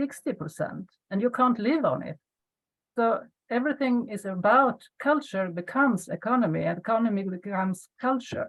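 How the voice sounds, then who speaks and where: The intonation is lively. The pace is moderate. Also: woman, fairly high pitch for a woman. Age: 60s. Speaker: webinar participant. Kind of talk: casual discussion. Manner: halting.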